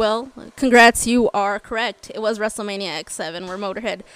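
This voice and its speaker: A woman's fairly high voice at a moderate pace. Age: 20s. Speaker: podcast co-host. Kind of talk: casual chat. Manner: animated, talkative.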